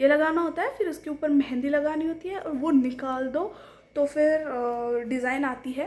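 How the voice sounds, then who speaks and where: A woman's high-pitched voice with a Marathi accent and ordinary pitch variation. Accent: non-fluent Hindi, Marathi speaker. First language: Marathi (speaking Hindi). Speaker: vlogger. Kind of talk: casual vlog talk to camera.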